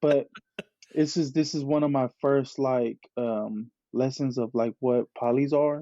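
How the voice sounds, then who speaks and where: A man speaks at a fairly slow pace with a Bay Area accent. His medium pitch carries fairly even intonation. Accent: Bay Area speech. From California Bay Area, Tongan and Hawaiian family. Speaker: clothing brand founder. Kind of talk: casual chat. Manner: halting, many repeated words.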